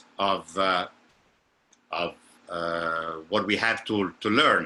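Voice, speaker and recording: In a very clean recording with a silent background, a man speaks very slowly in a bright, sharp tone. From Italy. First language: Italian. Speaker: opera singer and vocal coach. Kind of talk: lecture. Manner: halting.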